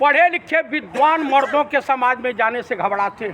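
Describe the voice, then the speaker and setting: A man speaks in a raised, projected voice at an extremely high pitch, with ordinary pitch variation and noticeable background noise around him. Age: 60s. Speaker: political commentator. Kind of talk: TV debate interview. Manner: animated.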